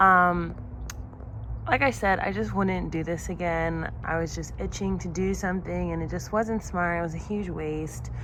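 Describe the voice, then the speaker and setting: A woman talks at a moderate pace, with audible room echo. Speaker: gardening vlogger. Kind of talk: casual vlog narration. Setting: outdoors in backyard garden. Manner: halting, hesitant with fillers.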